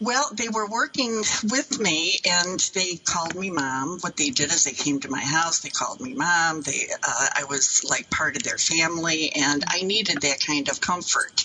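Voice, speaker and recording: Noticeable background noise accompanies a woman with a fairly low pitch. She talks at a moderate pace with very wide pitch swings. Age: 70s. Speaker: elder abuse victim. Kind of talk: interview. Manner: halting.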